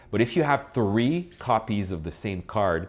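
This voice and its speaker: On a very clean recording with a silent background, a man with a French accent speaks at a fairly low pitch with very wide pitch swings. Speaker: collectibles channel host. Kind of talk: casual chat. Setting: studio.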